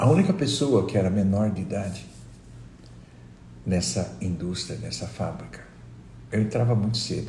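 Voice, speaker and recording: With long, frequent pauses, a man speaks at a fairly low pitch in a dark, mellow tone with vocal fry, very wide pitch swings and big swings in loudness, amid audible room echo. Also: moderate pace. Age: 60s. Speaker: meditation teacher. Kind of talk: live stream talk. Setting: live stream.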